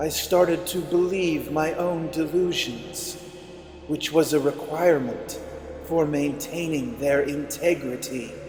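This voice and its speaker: A man puts on a raspy character voice with a fairly high pitch and speaks at a fairly slow pace. Clear background noise and a slight echo are heard in the recording. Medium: read story. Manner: gentle, tender.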